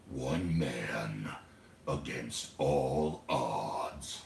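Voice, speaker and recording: A growling, put-on character voice comes through with a slight echo. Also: man, very deep, low pitch for a man. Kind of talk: radio announcer voice. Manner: dramatic.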